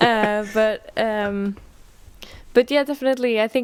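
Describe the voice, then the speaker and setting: A woman talks at a fairly slow pace in a Norwegian accent, her intonation fairly even. The recording is very clean and dry, close with no echo, over a silent background. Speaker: musician and artist. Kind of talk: interview. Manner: halting.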